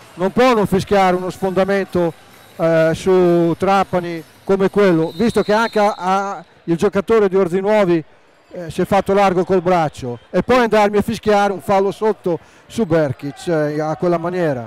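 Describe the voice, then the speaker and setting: With a dry, close sound and no echo, a high-pitched man talks at a moderate pace with ordinary pitch variation. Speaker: basketball color commentator. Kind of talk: live commentary.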